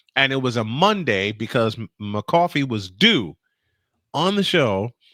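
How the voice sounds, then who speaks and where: In a very clean, silent recording with a dry, close sound and no echo, a man at a medium pitch speaks at a fairly slow pace in a bright, sharp tone with very wide pitch swings. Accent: New York. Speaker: podcast co-host or guest. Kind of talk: casual chat.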